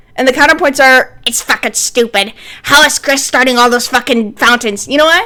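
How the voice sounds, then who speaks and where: A woman with an American accent speaks in a raised, projected voice. Her pitch is high and her intonation lively. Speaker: streamer. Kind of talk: casual chat. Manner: loud; animated.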